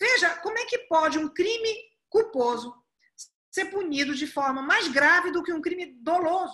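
In a raised, projected voice, a woman speaks with lively intonation, a bright, sharp tone and extremely high pitch. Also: moderate pace. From Pará, northern Brazil. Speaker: prosecutor and law professor. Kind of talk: podcast interview.

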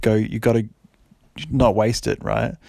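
Over noticeable background noise, a man speaks at a moderate pace and medium pitch. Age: 20s. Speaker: podcast host. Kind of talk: casual solo monologue.

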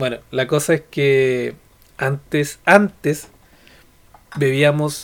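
A man with a Chilean accent speaks at a fairly high pitch. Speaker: podcast co-host. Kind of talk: casual chat.

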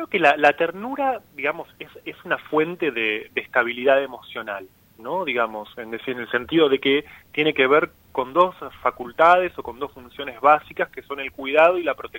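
In an ordinary speaking voice, a man speaks at a moderate pace and a fairly high pitch, with ordinary pitch variation and big swings in loudness. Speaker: psychoanalyst and author. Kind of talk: radio interview.

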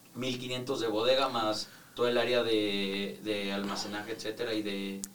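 A man talks at medium pitch and a fairly slow pace, with noticeable background noise and audible room echo. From Mexico. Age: 20s. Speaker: architect and real estate developer. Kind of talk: casual interview.

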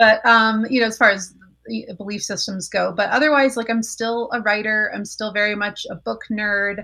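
Against a quiet background, a woman with an American accent uses a bright, sharp tone, fairly even intonation and a moderate pace. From Colorado. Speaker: former evangelical college student. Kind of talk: interview testimony.

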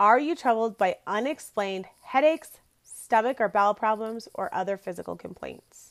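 A woman with a plain, everyday voice speaks fairly high at a moderate pace, with ordinary pitch variation and big swings in loudness. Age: 30s. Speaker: podcast host, entrepreneur. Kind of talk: solo podcast talk. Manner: casual, filler-heavy.

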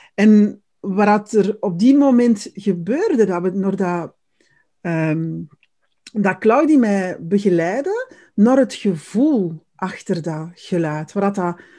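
Her tone comes across dark and mellow. The speaker is a woman. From Netherlands. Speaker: podcast co-host. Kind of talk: casual interview chat.

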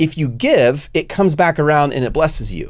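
A man speaks at a fairly high pitch and a fairly quick pace, with lively intonation. The recording is very clean, the background silent. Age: 40s. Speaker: podcast host and online business entrepreneur. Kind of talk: casual chat. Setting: studio. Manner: loud.

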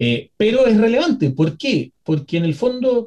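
His voice somewhat breathy, a man talks at a moderate pace as his pitch swings very widely. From Chile. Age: 30s. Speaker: historian and educator. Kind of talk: educational interview.

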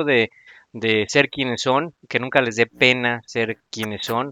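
A man with a Mexican accent, medium pitch, ordinary pitch variation and a fairly slow pace. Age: 40s. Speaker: podcast host. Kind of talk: casual chat. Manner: animated.

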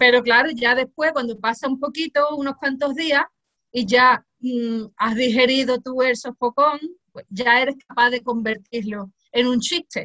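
In a dry, close sound with no echo, a woman speaks at a fairly slow pace with a high pitch, a bright, sharp tone and fairly even intonation. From Cádiz, Andalusia, Spain. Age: 40s. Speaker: music teacher and humor author. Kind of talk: interview.

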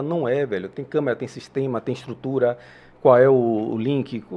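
A man at a fairly quick pace. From Salvador, Bahia, Brazil. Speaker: podcast host. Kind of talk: casual chat.

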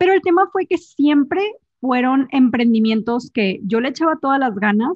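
A woman with a high pitch, lively intonation and a moderate pace. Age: 20s. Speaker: entrepreneur and speaker. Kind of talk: casual interview chat.

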